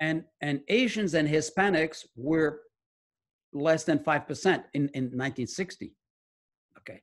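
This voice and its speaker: Against a quiet background, a man with a fairly high pitch speaks at a very slow pace, with long, frequent pauses, big swings in loudness and ordinary pitch variation. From France. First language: French. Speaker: medical research scientist and author. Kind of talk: interview. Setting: video call.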